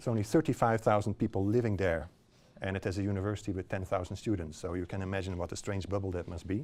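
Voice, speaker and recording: A man with a Dutch accent talks at a very fast pace, fairly low-pitched, with fairly even intonation. The recording is very clean, with a silent background. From Netherlands. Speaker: visiting practitioner speaker. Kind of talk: public lecture. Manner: halting, many fillers.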